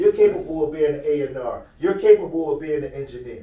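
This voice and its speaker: Audible room echo surrounds the recording. A man talks at a moderate pace. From Philadelphia, US. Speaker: youth mentor, nonprofit founder. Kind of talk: motivational talk to youth. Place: meeting room. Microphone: camera far.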